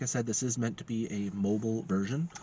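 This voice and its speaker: A somewhat breathy male voice at a moderate pace, medium in pitch. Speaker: tech reviewer. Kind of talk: product review. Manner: halting, many fillers.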